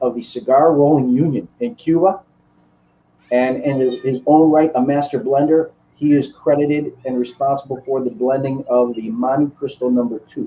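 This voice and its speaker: With a Chicago accent, a man speaks at a moderate pace and a fairly high pitch, using fairly even intonation and a dark, mellow tone. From US Midwest, Chicago. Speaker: cigar maker and master blender. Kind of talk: interview. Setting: live online broadcast.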